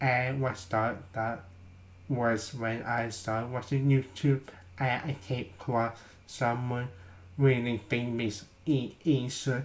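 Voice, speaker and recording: A somewhat breathy man's voice, medium in pitch, fairly even in intonation, at a very slow pace. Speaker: vlogger. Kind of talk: casual vlog. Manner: halting.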